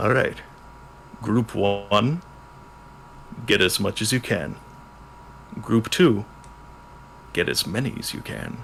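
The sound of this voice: In a gruff put-on character voice, a man with a fairly low pitch and lively intonation talks at a fairly slow pace with long, frequent pauses over clear background noise.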